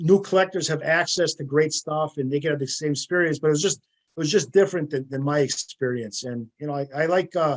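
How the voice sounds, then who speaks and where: A plain, everyday voice, a man's fairly high pitch with ordinary pitch variation, at a fairly quick pace with hardly any pauses. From US Midwest, northern Wisconsin. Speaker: sports memorabilia collector. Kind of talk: interview.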